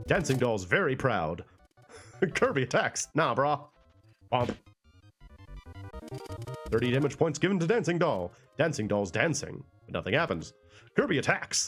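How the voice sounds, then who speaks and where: A man speaks at a moderate pace in a fairly high pitch, with very wide pitch swings and a relaxed, playful tone. Long, frequent pauses break up his speech while music plays in the background. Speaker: let's play streamer. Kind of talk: casual gameplay commentary.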